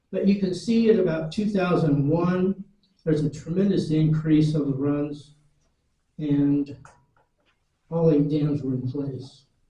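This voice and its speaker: A man with a fairly high pitch and a dark, mellow tone speaks at a fairly slow pace. His pitch varies in an ordinary way, and he leaves long, frequent pauses. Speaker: retired fisheries worker. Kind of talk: public lecture presentation. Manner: dry humor.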